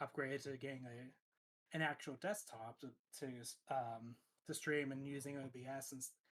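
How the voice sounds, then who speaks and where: Speaking softly at a fairly slow pace, a man talks in a monotone. His pitch is medium and his intonation stays flat. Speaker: streamer. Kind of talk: casual chat. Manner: soft-spoken; halting.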